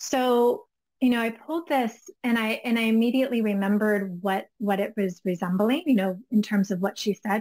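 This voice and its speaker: A woman speaks at a moderate pace in a fairly high, somewhat breathy voice with ordinary pitch variation. The sound is dry and close, with no echo. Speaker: spiritual business coach. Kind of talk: casual conversation.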